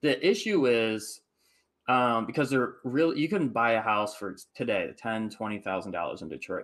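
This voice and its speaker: A man with a Midwestern American accent speaks at a moderate pace and medium pitch, his intonation lively. The recording is very clean, with a silent background. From Michigan, US Midwest. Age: 30s. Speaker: house flipper and real estate investor. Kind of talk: casual interview chat.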